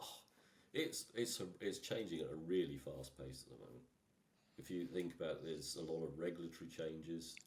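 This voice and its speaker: With an Irish accent, a man talks at a fairly quick pace in a very deep, low voice with vocal fry, ordinary pitch variation and big swings in loudness. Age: 60s. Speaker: engineer, technical director. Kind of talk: podcast interview. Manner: halting.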